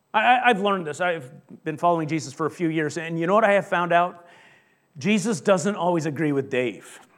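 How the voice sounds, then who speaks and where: A man with a high-pitched voice speaks at a fairly quick pace with ordinary pitch variation. The room echo is audible. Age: 50s. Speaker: pastor. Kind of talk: sermon.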